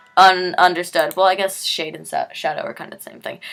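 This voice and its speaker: A woman's raspy, put-on character voice at a medium pitch, monotone and flat in intonation, fairly quick in pace, with big swings in loudness. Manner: stuttering, hesitant.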